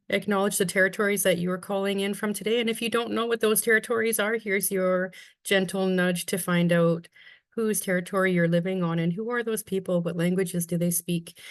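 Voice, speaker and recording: Against a quiet background, a woman with a Canadian accent speaks in a plain, everyday voice at medium pitch with fairly even intonation. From west coast of northern British Columbia, Canada. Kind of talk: webinar presentation. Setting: video call. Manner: warm, measured with frequent ums.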